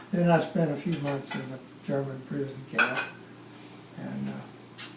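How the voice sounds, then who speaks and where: Speaking at a fairly slow pace, a man with an American accent has a fairly high pitch and fairly even intonation. Room echo and background noise are both noticeable. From Louisiana, US South. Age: 90s. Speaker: war veteran. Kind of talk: oral history interview.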